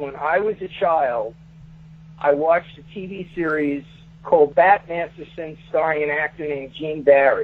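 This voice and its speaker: Loudness swings widely in this voice with a Brooklyn accent. The pitch varies in an ordinary way. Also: man. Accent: New York (Brooklyn). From Brooklyn, New York. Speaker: author. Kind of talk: interview. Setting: radio studio. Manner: halting.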